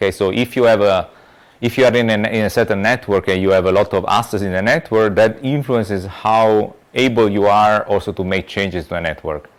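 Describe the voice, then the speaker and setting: A man with an Italian accent at a fairly quick pace. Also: fairly low pitch for a man, fairly even intonation. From Italy. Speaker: lecturer. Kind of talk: lecture. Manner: halting, many repetitions and fillers.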